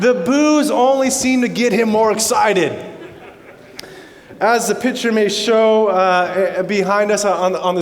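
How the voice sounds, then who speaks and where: A man with an American accent speaks at a fairly slow pace in a high pitch, his loudness very even. Room echo is audible, and background noise is noticeable. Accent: North American, slightly Australianised. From Canada. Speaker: pastor. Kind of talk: sermon. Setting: church service with congregation. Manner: halting, with repetitions.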